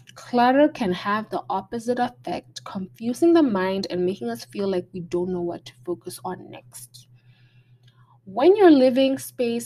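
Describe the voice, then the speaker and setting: A woman's dark, mellow voice with very wide pitch swings. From Botswana, Gaborone. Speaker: podcast host, creative arts advice. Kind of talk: solo talk with tips, partly read from notes. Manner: hesitant, frequent ums and restarts.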